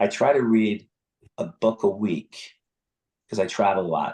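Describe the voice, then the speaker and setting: A man with an American accent speaks at fairly low pitch. His pace is moderate and his pitch variation ordinary. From Northern New Jersey, US. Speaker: spine surgeon. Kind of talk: interview. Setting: video call from hotel bathroom. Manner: quiet; animated.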